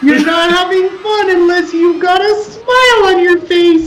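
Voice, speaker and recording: This is a put-on character voice with an extremely high pitch. The pace is moderate. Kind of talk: comic overacting. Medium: actual play. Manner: bubbly, enthusiastic; weary, exasperated.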